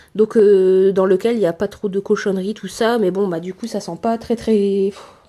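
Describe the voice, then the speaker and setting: Monotone, flat intonation from a woman at a medium pitch. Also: moderate pace. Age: 20s. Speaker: dairy farmer and small stable manager. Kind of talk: casual talk to camera.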